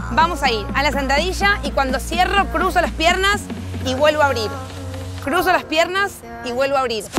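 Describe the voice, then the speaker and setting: Clear music plays in the background as a woman speaks at a moderate pace, the sound dry with no echo. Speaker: fitness instructor. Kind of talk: tutorial. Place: garden. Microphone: lapel.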